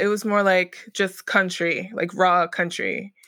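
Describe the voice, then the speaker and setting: A woman at a very slow pace in a very clean recording with a silent background. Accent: Mid-Atlantic American. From Northern Virginia, DC area. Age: 30s. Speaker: artist and web developer. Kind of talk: interview. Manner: hesitant, with fillers.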